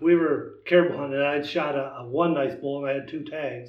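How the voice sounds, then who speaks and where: In an American accent, a man with an unremarkable speaking voice talks at a moderate pace, fairly high in pitch, with fairly even intonation. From US Midwest, Wisconsin. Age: 60s. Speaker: traditional bowhunter. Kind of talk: casual chat.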